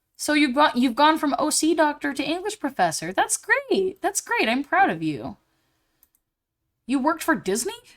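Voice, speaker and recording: A woman with an American accent, high-pitched and animated, her pitch swinging very widely at a moderate pace. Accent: southern US, comes out at times. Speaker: live streamer. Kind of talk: casual live stream chat.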